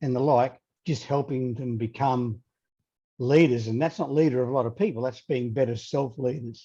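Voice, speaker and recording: Speaking with an Australian accent, a man has a dark, mellow tone. He sounds somewhat breathy and keeps a moderate pace. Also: medium pitch for a man, fairly even intonation. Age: 30s. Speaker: leadership coach. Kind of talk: interview.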